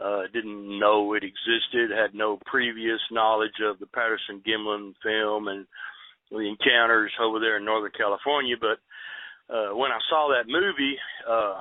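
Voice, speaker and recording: The speaker has a Texan accent and fairly even intonation. The pace is moderate. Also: man, fairly low pitch for a man. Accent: Texan Southern US. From Southeast Texas. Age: 60s. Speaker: eyewitness storyteller. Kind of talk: interview. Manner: halting, many fillers.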